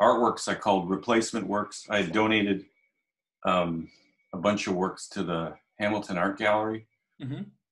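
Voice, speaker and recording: Over a quiet background, a man speaks at a moderate pace, his pitch fairly low and his intonation fairly even. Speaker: guest. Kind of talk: interview answer. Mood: relaxed, reflective. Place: home room. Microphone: video call.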